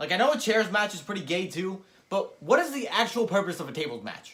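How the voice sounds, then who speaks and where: A man speaks in a raised, projected voice at a fairly quick pace, his pitch swinging very widely. His tone is animated, bright and sharp. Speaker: wrestling show reviewer. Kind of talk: casual chat. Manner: stumbling over words.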